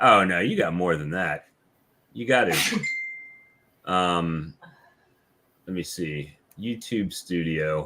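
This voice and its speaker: Very slow delivery with long, frequent pauses and ordinary pitch variation. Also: man, very deep, low pitch for a man. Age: 50s. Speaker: beekeeping YouTuber hosting a live stream. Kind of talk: casual chat. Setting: live stream video call.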